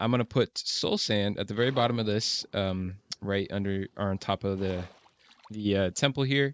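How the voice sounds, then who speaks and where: Mumbling at a moderate pace, a man speaks at fairly low pitch with fairly even intonation in a dry, close sound with no echo. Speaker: gaming video creator. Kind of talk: gameplay commentary. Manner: casual, hesitant with fillers.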